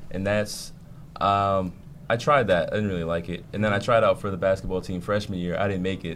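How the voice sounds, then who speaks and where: At a fairly quick pace, a man speaks at a fairly low pitch with fairly even intonation. He has an ordinary speaking voice. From New York (Queens) and New Jersey. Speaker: rapper. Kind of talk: interview.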